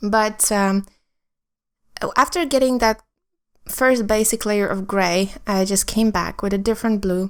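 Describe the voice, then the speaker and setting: On a very clean recording with a silent background, a woman with a non-native accent speaks fairly slowly with fairly even intonation. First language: not English. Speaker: artist. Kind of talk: art tutorial voice-over. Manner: halting, many ums.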